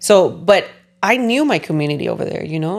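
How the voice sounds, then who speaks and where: Speaking at a moderate pace, a woman uses a Spanish accent. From California. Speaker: podcast host. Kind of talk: casual chat.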